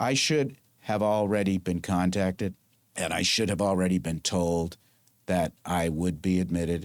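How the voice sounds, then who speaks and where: On a very clean recording with a silent background, a man with a very deep, low pitch speaks at a moderate pace with ordinary pitch variation. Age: 70s. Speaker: lawyer and former marine. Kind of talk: interview. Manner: animated.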